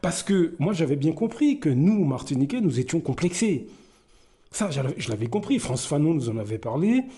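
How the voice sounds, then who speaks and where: The voice is somewhat breathy with a dark, mellow tone and moves at a moderate pace. Its pitch swings very widely. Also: man. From Martinique, raised in the north by grandmother. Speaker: commentary YouTuber. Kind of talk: personal commentary monologue. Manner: hesitant, many fillers.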